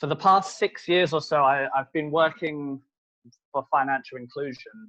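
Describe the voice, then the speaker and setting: Bright and sharp in tone, a man with a British accent speaks at a fairly slow pace with ordinary pitch variation. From UK. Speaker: solutions consultant. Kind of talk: webinar presentation. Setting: online webinar.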